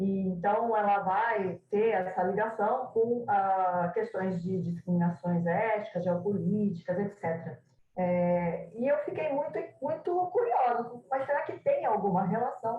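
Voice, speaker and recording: A woman with a medium pitch and lively intonation talks at a fairly slow pace, her voice somewhat breathy. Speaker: translation scholar. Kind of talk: academic presentation. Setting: video call. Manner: halting.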